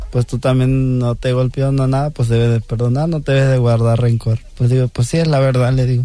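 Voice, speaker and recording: A man's dark, mellow, medium-pitched voice at a fairly quick pace, monotone and flat, with very even loudness and hardly any pauses. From Mexico, Guerrero. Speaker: street corn vendor. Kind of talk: radio interview. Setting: studio.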